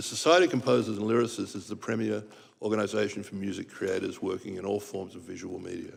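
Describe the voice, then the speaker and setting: This man talks at a fairly quick pace. His pitch is fairly low and his intonation fairly even. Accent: Australian. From Australia. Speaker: composer and arranger, music association president. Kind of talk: testimony. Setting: congressional hearing room. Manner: formal.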